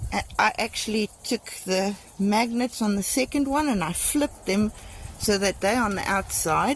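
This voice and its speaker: A woman with a South African accent, fairly high pitch, ordinary pitch variation and a moderate pace. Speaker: vlogger. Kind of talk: video tour. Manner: casual with fillers.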